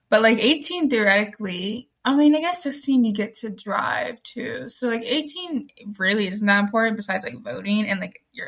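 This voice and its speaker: The speaker has a plain, everyday voice and talks at a moderate pace. The intonation is lively. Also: woman. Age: 18. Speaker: podcast co-host. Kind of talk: casual chat. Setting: video recording from her room.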